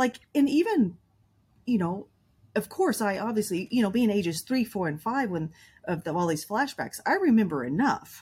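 At a moderate pace, a woman speaks at a fairly high pitch with very wide pitch swings and a somewhat breathy voice. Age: 50s. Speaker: trauma coach. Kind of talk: interview.

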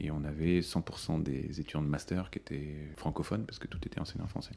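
Over noticeable background noise, a man speaks at a very fast pace in a very deep, low pitch. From France (Paris), early childhood in India. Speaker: business school dean. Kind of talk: interview. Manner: hesitant, many fillers.

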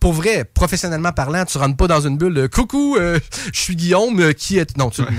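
Speaking at a fairly quick pace, a man uses lively intonation and a high pitch. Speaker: singer. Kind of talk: casual chat. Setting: radio studio.

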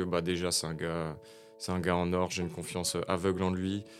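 Music plays in the background as a man speaks at a fairly quick pace. His voice is very deep and low, with monotone, flat intonation. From France, Nancy (Lorraine). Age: 20s. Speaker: rapper and battle improviser. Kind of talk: casual interview chat.

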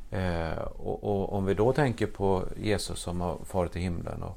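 At a fairly slow pace, a man talks with a very deep, low pitch and ordinary pitch variation. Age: 60s. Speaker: priest. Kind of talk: casual chat.

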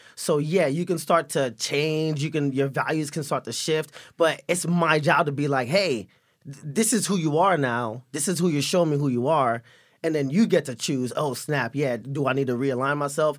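A man with an American accent and a normal speaking voice talks at a fairly high pitch and a moderate pace. His pitch varies in an ordinary way in a very clean recording with a silent background. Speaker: actor. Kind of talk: casual chat.

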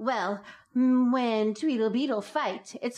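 At a fairly slow pace, a woman speaks in an unremarkable speaking voice pitched fairly high. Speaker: guest reading tongue twisters. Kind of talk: playful reading aloud of tongue twisters.

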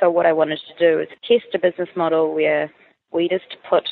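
A woman with a New Zealand accent, at a fairly quick pace. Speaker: food startup founder. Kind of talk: interview.

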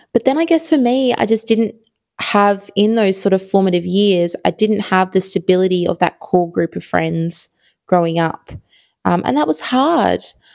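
A woman with a strong Australian accent talks in a warm tone at medium pitch and moderate pace. Her intonation is lively, and the recording is very clean with a silent background. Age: 30s. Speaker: podcast host. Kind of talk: solo podcast monologue, casual. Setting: home, recording in evening. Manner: chatty, warm, with laughs and filler words.

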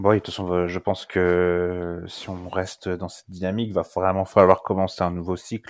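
Over a silent background on a very clean recording, a man with a very deep, low pitch talks in a flat monotone at a moderate pace, with hardly any pauses, big swings in loudness and a dry, close sound with no echo. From France, Lyon. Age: 20s. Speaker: football fan. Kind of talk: casual chat.

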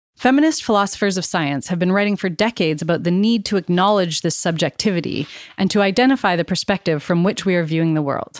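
A woman with a Canadian accent talks at a very fast pace with hardly any pauses, at a medium pitch with ordinary pitch variation. Her loudness stays very even in a very clean recording with a silent background. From Canada. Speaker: psychology professor and podcast host. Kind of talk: scripted narration.

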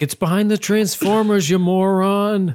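A man shouting in a put-on character voice, high in pitch. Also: moderate pace. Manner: yelling, insulting.

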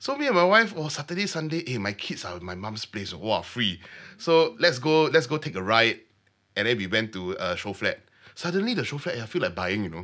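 On a very clean recording with a silent background, a man speaks fairly quickly at a medium pitch, his animated tone bright and sharp, with very wide pitch swings. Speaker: mortgage broker. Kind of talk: interview.

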